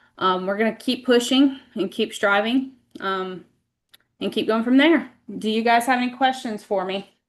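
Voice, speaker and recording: A woman's fairly high voice with an American accent, fairly even intonation and a moderate pace, over a quiet background. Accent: Southern US, stronger than usual today. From US South. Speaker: school administrator. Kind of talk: board meeting report. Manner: hesitant, many fillers.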